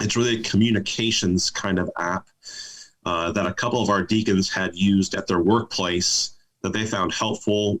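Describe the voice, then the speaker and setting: This man has a normal speaking voice, pitched fairly low. He keeps a moderate pace and fairly even intonation. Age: 40s. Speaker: pastor. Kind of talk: casual interview.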